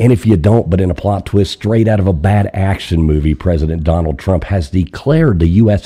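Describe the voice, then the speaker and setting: This man has a very deep, low pitch and a dark, mellow tone that is somewhat breathy. He speaks at a moderate pace with ordinary pitch variation. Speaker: live call-in show host. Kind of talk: casual live stream chat; reading out written comedy news.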